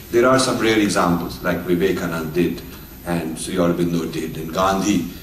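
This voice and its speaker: Through noticeable background noise and audible room echo, a man with a very deep, low pitch speaks at a fairly quick pace with ordinary pitch variation. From India. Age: 60s. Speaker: author and speaker. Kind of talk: lecture. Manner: halting with filler words.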